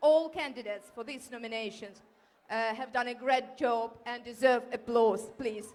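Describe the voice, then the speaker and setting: A woman speaks with a Ukrainian accent at a moderate pace. Her voice is high-pitched, and her loudness swings widely. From Ukraine. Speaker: award winner, community volunteer. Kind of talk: acceptance speech. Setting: hall with audience at awards ceremony.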